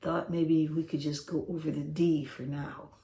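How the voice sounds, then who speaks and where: Soft-spoken and somewhat breathy, a woman talks in a very deep, low voice with a dark, mellow tone. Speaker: guitar teacher. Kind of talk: tutorial. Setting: home, late at night. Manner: soft-spoken, talking low.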